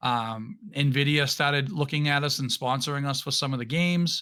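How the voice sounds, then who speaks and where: Very clean, with a silent background, this recording has a man speaking at a fairly quick pace. His pitch is fairly high, and he speaks with a New England accent. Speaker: podcast guest, streamer and former competitive gamer. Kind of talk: casual chat. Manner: halting, with frequent restarts.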